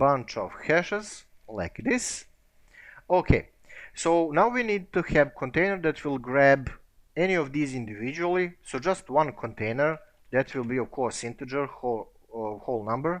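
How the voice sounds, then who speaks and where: Lively intonation from a man with a non-native accent, fairly high in pitch, at a moderate pace over a quiet background. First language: not English. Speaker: programming tutor. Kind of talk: tutorial. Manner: casual, with filler words.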